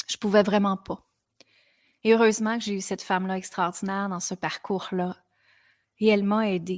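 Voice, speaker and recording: At a moderate pace broken by long, frequent pauses, a woman of medium pitch speaks in a monotone, flat way, captured as a very clean, dry, close recording with no echo and a silent background. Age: 40s. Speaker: podcast host, women's coach. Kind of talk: personal testimony on a podcast.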